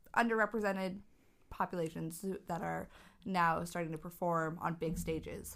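A woman with a plain, everyday voice and a fairly low pitch speaks at a moderate pace. Her intonation is fairly even on a very clean recording with a silent background. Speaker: podcast co-host. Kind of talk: casual chat.

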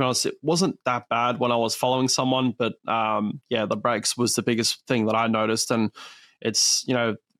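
A man with an Australian accent, medium pitch and fairly quick pace, in a dry, close sound with no echo. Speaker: racing driver. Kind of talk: casual interview. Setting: video call.

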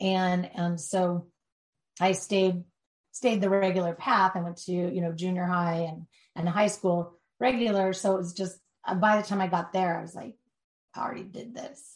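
A woman with a medium-pitched, somewhat breathy voice speaks at a moderate pace with fairly even intonation, big swings in loudness, and long, frequent pauses. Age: 50s. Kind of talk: interview. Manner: halting.

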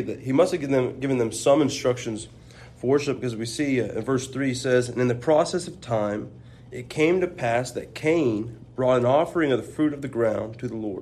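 Speaking at a fairly quick pace, a man with an unremarkable speaking voice keeps a medium pitch with ordinary variation. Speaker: preaching student. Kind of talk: religious discussion.

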